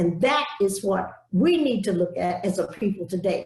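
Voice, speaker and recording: A woman with an American accent speaks at a fairly slow pace. Her somewhat breathy voice swings very widely in pitch. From US South. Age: 80s+. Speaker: civil rights activist. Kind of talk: speech. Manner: emphatic.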